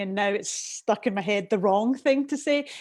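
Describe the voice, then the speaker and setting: A woman with a Scottish accent speaks at a fairly high pitch with ordinary pitch variation. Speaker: declutter and organising professional, show co-host. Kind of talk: live video chat show. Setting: video call.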